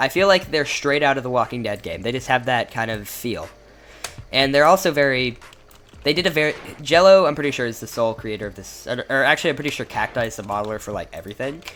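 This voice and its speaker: This man talks at a very fast pace and a fairly high pitch. His loudness swings widely. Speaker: gaming video creator. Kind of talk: gameplay showcase commentary. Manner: halting, many fillers and restarts; casual.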